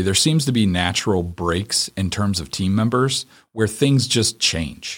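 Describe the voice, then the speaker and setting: A man with a plain, everyday voice speaks at a fairly low pitch with lively intonation. The recording is very clean with a silent background. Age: 40s. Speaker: accounting firm co-founder. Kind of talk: interview.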